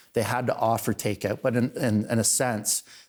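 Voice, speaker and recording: Man with a Canadian accent and monotone, flat intonation. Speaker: town councillor and local online show host. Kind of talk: casual podcast interview. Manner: loud.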